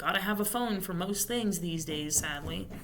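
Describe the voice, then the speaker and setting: Speech comes at a fairly slow pace with ordinary pitch variation. Music plays in the background, and there is audible room echo. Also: woman. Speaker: vlogger. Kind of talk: casual monologue. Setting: library study room. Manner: quieter; loud.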